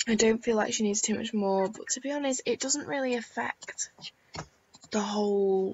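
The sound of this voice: A woman talks at a moderate pace in a fairly high pitch, croaky with a slightly husky edge and a slightly mellow tone, using ordinary pitch variation.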